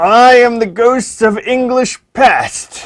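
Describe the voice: In a put-on character voice with an American accent, the speaker talks very slowly at a fairly high pitch.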